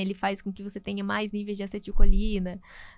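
Her medium-pitched voice stays monotone and flat as the woman speaks in a very clean recording with a silent background. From Brazil, Natal, Rio Grande do Norte. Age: 30s. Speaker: nutritionist. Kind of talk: interview.

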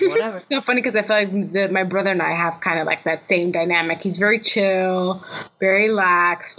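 A woman with a plain, everyday voice speaks in an American accent at medium pitch. Her pace is fairly quick and her intonation fairly even. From Miami, Florida. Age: 30s. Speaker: filmmaker. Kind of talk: casual interview.

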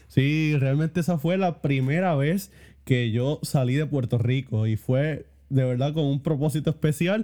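Fairly high in pitch with ordinary pitch variation, this man has a plain, everyday voice. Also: fairly slow pace. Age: 20s. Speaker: theology student. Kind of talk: casual chat.

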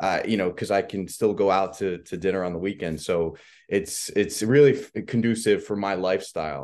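Here a man has an unremarkable speaking voice, pitched fairly low with ordinary variation. He speaks at a moderate pace against a quiet background. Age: 40s. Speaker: podcast host. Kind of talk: interview.

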